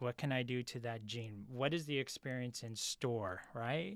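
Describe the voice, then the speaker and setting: A man with a Californian accent at a moderate pace, on a very clean recording with a silent background. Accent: General American (California). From US, San Francisco. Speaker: retail industry executive. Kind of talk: interview conversation.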